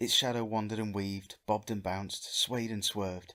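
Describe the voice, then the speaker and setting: A man with a normal speaking voice talks at a fairly quick pace in a fairly low pitch, on a very clean recording with a silent background. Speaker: fanfiction reader and reviewer. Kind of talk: short story reading.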